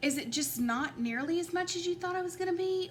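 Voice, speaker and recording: Over noticeable background noise, a woman speaks at a moderate pace with very wide pitch swings. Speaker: tarot reader. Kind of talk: tarot card reading. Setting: at home at a table. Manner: halting, stuttering a little.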